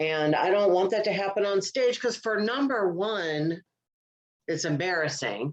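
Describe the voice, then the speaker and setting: Her loudness stays very even as a woman speaks fairly slowly. Her medium-pitched voice has lively intonation. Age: 60s. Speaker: comedian and podcast co-host. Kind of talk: casual chat.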